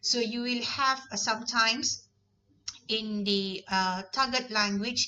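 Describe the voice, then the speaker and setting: The speaker is a woman with a Malaysian accent. She talks at a fairly slow pace. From Malaysia, Negeri Sembilan. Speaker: university lecturer. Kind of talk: lecture.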